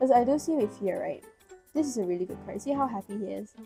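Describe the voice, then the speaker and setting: Music plays in the background. Over it, a woman talks at a very fast pace. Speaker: tarot reader. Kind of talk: tarot reading to camera. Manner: casual, encouraging.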